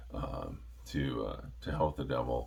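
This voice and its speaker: Mumbling with vocal fry, a man talks amid audible room echo. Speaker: metal music reviewer. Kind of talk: casual monologue review. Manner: halting, many fillers.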